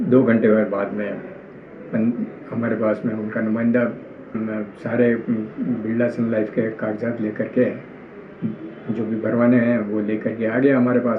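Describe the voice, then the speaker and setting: Speaking at a medium pitch in a flat monotone, a man is recorded with audible room echo and noticeable background noise. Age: 60s. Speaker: complainant, retired government employee. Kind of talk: testimony. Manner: halting.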